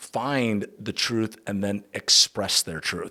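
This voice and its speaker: A man speaks with a fairly low pitch. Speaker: podcast host. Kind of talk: solo podcast monologue. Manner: casual, conversational.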